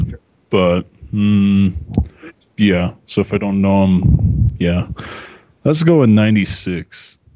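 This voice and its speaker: A man with an American accent at a very slow pace, ordinary pitch variation and long, frequent pauses. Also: fairly low pitch for a man. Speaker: contestant. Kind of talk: casual game show contestant banter. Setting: phone call with home computer mic. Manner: self-deprecating, laughing, hesitant.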